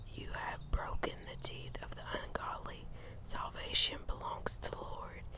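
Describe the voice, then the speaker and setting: A soft-spoken voice at a fairly slow pace, dry with no echo, over loud background noise. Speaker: Bible reader. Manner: soft, hushed ASMR reading voice. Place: garden. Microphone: phone near.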